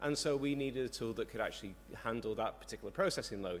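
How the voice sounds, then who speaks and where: A man speaks with a British accent at a fairly quick pace. His intonation is lively. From UK. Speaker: software developer, conference speaker. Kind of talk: conference talk. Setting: conference stage with audience.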